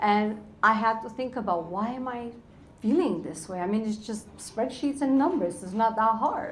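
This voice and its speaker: A woman speaks at a moderate pace in a fairly high voice with ordinary pitch variation and big swings in loudness. There is audible room echo and noticeable background noise. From Romania. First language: Romanian. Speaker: financial educator and entrepreneur. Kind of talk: panel talk. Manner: animated.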